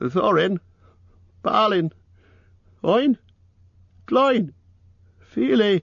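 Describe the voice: Vocal fry and a fairly bright tone mark this put-on character voice, delivered at a very slow pace with lively intonation. The sound is dry and close, with no echo. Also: man, high pitch for a man.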